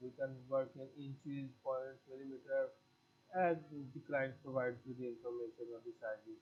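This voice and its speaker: A somewhat breathy voice with a Pakistani accent, fairly even intonation and a moderate pace. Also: man, medium pitch for a man. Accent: South Asian (Pakistani) English. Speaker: graphic design teacher. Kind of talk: tutorial. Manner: halting, with frequent fillers.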